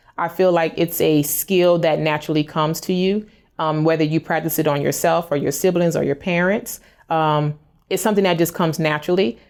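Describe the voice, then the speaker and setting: The speech moves at a fairly quick pace with fairly even intonation. The recording is very clean, with a silent background. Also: woman, fairly low pitch for a woman. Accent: American. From US South, New Orleans, Louisiana. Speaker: hairstylist. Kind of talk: interview answers. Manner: fast.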